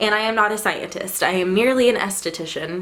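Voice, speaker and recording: A woman with an American accent talks at a fairly quick pace in a fairly high pitch, with ordinary pitch variation and noticeable background noise. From Texas. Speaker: esthetician. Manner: casual, self-deprecating.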